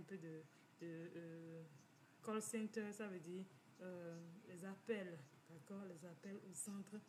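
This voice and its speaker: Over noticeable background noise, a woman speaks very slowly at medium pitch with fairly even intonation. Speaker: financial community organizer. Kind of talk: informal talk, personal testimony. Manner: halting, many repetitions.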